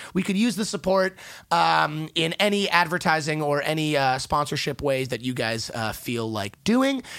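The recording is very clean with a silent background. A man with a normal speaking voice and a fairly high pitch talks at a moderate pace. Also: lively intonation. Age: 20s. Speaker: podcast co-host. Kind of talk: casual chat.

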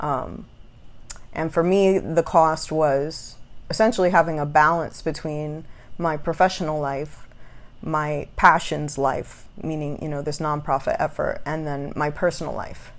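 A woman's very deep, low voice, with fairly even intonation and a fairly slow pace. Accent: American. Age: 30s. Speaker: podcast host. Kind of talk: solo monologue. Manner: casual. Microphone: new recording app.

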